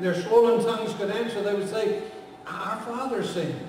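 A man speaks at a high pitch. The room has strong echo.

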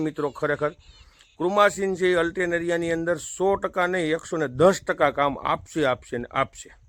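This man's voice sits high. Its pitch moves up and down in a normal way. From Saurashtra, Gujarat (Junagadh district). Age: 30s. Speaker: farmer giving crop advice. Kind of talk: farming advice vlog. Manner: animated.

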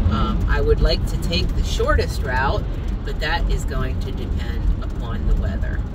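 A woman at a fairly slow pace against loud background noise. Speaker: van camper vlogger. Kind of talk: casual vlog chat. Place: car.

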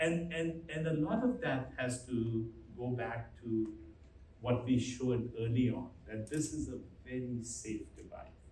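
Light background noise and audible room echo surround a man speaking at a fairly slow pace with ordinary pitch variation. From India, Delhi. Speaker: physician and chief medical officer; conference presenter. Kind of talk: press conference presentation. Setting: stage with audience. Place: hall.

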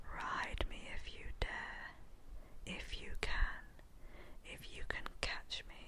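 Someone whispers in a British accent at a very slow pace, leaving long, frequent pauses. The loudness swings widely throughout. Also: woman. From United Kingdom. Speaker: ASMR storyteller. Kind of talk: ASMR poem reading. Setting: home recording, low quality. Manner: whispered; soft-spoken, slow.

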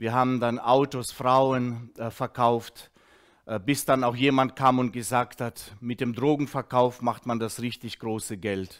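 A man talks at a fairly slow pace with monotone, flat intonation. The background is quiet. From Russia, moved to Germany as a child in 1979. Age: 50s. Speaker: former drug addict giving a testimony; speaker. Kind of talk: testimony; teaching. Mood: earnest, reflective. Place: studio. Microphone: headset.

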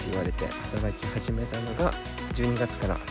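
Loud music plays in the background. Over it, a man speaks, the sound dry with no echo. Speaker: vlogger. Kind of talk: casual vlog chat. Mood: calm and reflective. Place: open country. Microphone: phone near.

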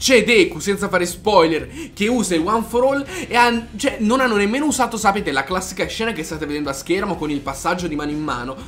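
High-pitched for a man, this speaker talks at a very fast pace with very wide pitch swings over light background noise. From Italy. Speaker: YouTuber, anime film reviewer. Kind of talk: video review. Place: home room.

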